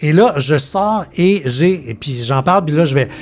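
Over light background noise, a man with a Quebec accent talks at a fairly high pitch with ordinary pitch variation. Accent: Québécois French. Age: 50s. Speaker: podcast host. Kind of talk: casual chat; podcast conversation. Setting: home living room. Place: studio. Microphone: studio mic.

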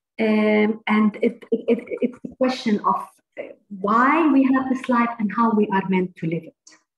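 A woman with an Arabic accent talks at a fairly high pitch and a fairly slow pace, with ordinary pitch variation and big swings in loudness. Room echo and light background noise are audible. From Palestine. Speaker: university administrator. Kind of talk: reading a prepared text; interview. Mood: earnest, heartfelt. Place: home room. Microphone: video call.

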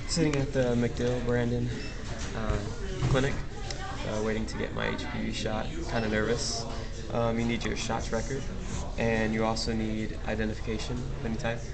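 A man speaks at a moderate pace, leaving long, frequent pauses. Loud background noise runs underneath. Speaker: patient vlogger. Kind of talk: casual talk to camera. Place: hall. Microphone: phone near.

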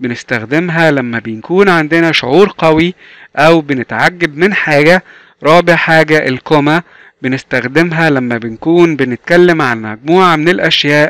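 Speaking at a fairly slow pace, a man with a fairly high pitch and an Egyptian accent comes through in a dry, close sound with no echo. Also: ordinary pitch variation. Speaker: English teacher. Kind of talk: tutorial. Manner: slow, repetitive drilling.

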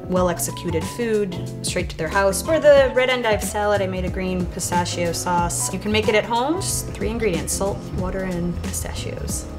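Clear music plays in the background as a woman talks with hardly any pauses. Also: moderate pace. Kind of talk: interview answer. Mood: warm, cheerful. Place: cafe.

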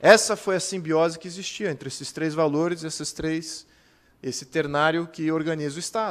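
The speaker is a man with an ordinary speaking voice and a fairly high pitch. He talks at a moderate pace with fairly even intonation. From Brazil. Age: 40s. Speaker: political activist and speaker. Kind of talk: lecture. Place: hall. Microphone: podium.

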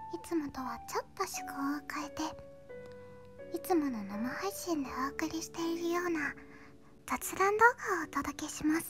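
A woman at a high pitch with very wide pitch swings, at a fairly slow pace, with faint music in the background. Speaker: VTuber illustrator and animator. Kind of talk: casual talk about her hobbies and channel. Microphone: studio mic.

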